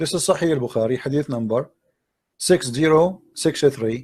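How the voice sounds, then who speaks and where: The man's pitch is fairly high, with ordinary variation. He keeps a moderate pace broken by long, frequent pauses. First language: not English. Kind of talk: live debate with a caller.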